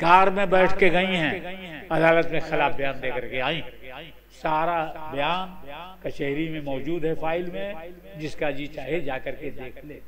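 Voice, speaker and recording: With audible room echo, a man speaks in a high pitch with ordinary pitch variation. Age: 80s+. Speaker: Islamic cleric. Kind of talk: sermon. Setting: mosque. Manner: animated.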